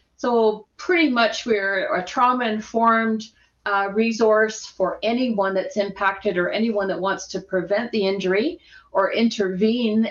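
In a Canadian accent, a woman uses a normal speaking voice at a fairly high pitch, moderate pace, and ordinary pitch variation. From Edmonton, Alberta, Canada. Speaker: workplace harassment expert and social worker. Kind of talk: casual interview chat.

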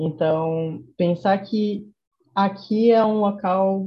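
A woman speaks in a somewhat breathy voice. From Salvador, Bahia (Brazil's Northeast). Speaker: youth NGO volunteer director. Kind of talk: casual interview chat.

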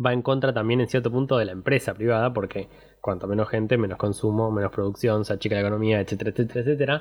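This is a plain, everyday voice. Its intonation stays fairly even. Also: man. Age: 20s. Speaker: podcast host. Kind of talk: casual chat.

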